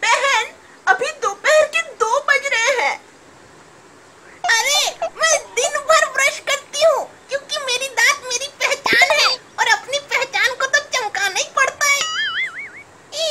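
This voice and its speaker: This put-on character voice is extremely high in pitch, moving at a moderate pace with long, frequent pauses. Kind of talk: comedy sketch, gossiping phone calls.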